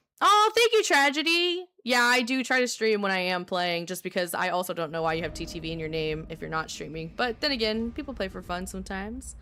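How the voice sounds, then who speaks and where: A woman speaks with an American accent at a fairly quick pace. She leaves hardly any pauses. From US South. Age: 20s. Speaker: livestreamer and skincare professional. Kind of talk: casual live stream chat. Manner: animated.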